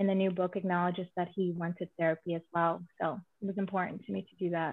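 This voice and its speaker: The woman talks at a fairly quick pace and medium pitch. Her intonation is monotone and flat. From Azerbaijan. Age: 30s. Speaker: romance author. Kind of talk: casual interview.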